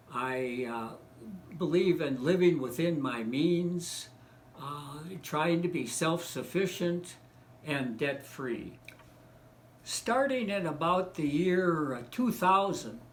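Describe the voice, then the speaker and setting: A man with an American accent, fairly high-pitched, very slow, with lively intonation, long and frequent pauses, and audible room echo. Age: 70s. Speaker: economics commentator. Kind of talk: casual monologue. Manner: halting, many fillers.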